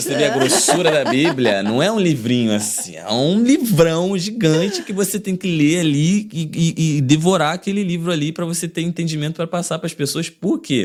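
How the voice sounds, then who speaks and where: Against noticeable background noise, a high-pitched man speaks at a moderate pace with lively intonation and hardly any pauses. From Paracambi, Rio de Janeiro state. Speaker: pop singer and songwriter. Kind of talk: interview answer.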